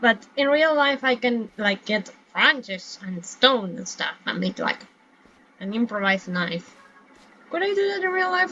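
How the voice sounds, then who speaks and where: Speaking fairly slowly with a non-native accent, a woman with a fairly high voice makes very wide pitch swings over noticeable background noise. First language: not English. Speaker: gaming streamer. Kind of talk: gameplay commentary. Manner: casual, rambling self-talk.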